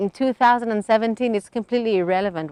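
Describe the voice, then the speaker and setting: A woman with a British accent talks very fast, with ordinary pitch variation, in a dry, close sound with no echo against a quiet background. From Israel. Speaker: settler interviewee. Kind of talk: interview answer.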